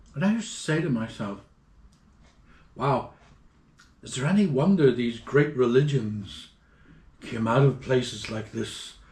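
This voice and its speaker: Speaking at a fairly slow pace with long, frequent pauses, a man with a medium pitch sounds somewhat breathy and uses lively intonation. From Ireland. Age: 60s. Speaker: traveler. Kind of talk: interview. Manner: animated.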